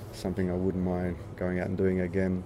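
An Australian accent at a fairly quick pace. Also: man. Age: 50s. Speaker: punk musician. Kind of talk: interview. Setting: backstage at a pub.

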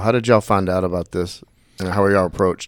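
The recording is very clean, with a silent background. A man speaks in a Southern US accent. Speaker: podcast host. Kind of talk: interview. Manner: casual, joking.

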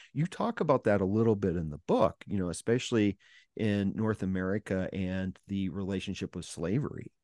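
A man's fairly low, dark and mellow voice with ordinary pitch variation at a fairly quick pace, dry and close with no echo over a quiet background. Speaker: podcast host. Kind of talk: interview conversation.

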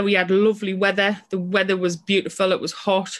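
The speaker has a strong British accent, heard against a quiet background. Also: woman. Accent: British English, strong regional. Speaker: person in recovery from alcohol. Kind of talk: casual interview. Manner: nervous.

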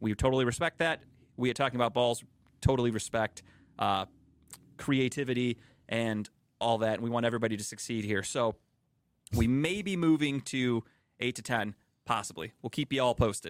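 An American accent at a fairly quick pace, with long, frequent pauses, ordinary pitch variation, and a dry, close sound with no echo on a very clean recording with a silent background. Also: man, medium pitch for a man. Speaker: podcast host. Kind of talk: casual sports banter. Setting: radio station studio.

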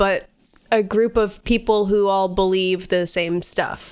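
At a fairly slow pace, a woman talks at a medium pitch with ordinary pitch variation. Hers is an ordinary speaking voice. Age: 20s. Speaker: podcast co-host. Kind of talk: casual chat.

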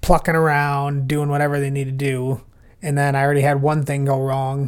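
In an American accent, a man speaks at a moderate pace with a fairly high pitch. The recording is very clean, with a silent background. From Minnesota, Plymouth. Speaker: podcast guest, podcast co-host elsewhere. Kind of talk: casual chat.

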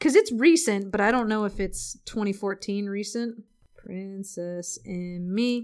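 A woman with a medium-pitched voice talks at a moderate pace with ordinary pitch variation. The recording is very clean with a silent background. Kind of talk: casual chat. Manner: animated. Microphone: crackling voice track.

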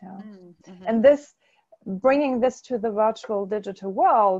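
A fairly high-pitched woman's voice with a dark, mellow tone, ordinary pitch variation and a quiet background. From Germany. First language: German. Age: 40s. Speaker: corporate consultant. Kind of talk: interview. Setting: webinar call.

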